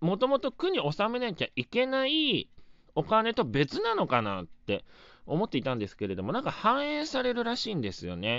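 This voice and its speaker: The man's pitch makes very wide swings. He talks at a moderate pace. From Japan, Wakayama (Shingu). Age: 30s. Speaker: comedian. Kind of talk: solo podcast talk. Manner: casual, filler-heavy.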